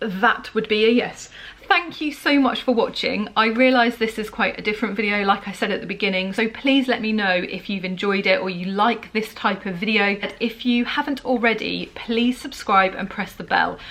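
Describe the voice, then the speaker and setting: A woman's fairly high voice in a British accent, at a moderate pace with hardly any pauses and ordinary pitch variation, over noticeable background noise. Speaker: book reviewer vlogger. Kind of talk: casual vlog talk. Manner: chatty, rambling.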